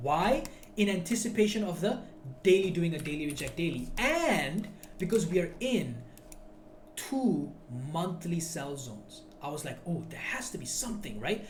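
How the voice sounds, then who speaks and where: Loud and animated, the voice moves at a moderate pace with long, frequent pauses. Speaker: trading educator. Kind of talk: tutorial.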